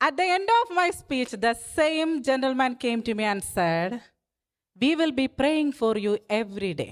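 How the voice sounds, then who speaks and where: A woman with a non-native accent speaks fairly slowly at a high pitch, her voice swinging very widely up and down. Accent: noticeable foreign. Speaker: political candidate. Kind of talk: campaign speech. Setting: stage with dinner audience. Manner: humorous, conversational.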